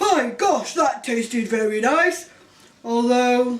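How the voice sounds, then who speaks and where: Using a put-on character voice, a woman speaks high in pitch at a fairly slow pace. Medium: read story.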